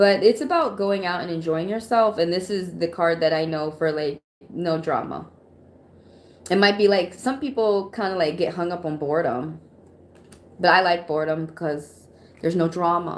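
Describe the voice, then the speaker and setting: This woman has a normal speaking voice, fairly low in pitch, with ordinary pitch variation and a moderate pace. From Atlanta, US South. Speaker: tarot reader. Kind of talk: live stream tarot reading. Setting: live stream. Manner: casual, conversational.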